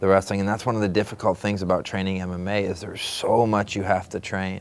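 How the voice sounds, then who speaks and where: A man with an American accent, very deep and low in pitch, with monotone, flat intonation. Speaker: former MMA fighter turned commentator. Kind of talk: interview.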